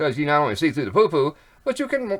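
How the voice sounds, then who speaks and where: Fairly high for a man, the voice has a bright, sharp tone, vocal fry and very wide pitch swings. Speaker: online commentator. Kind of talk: casual monologue. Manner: fast; halting.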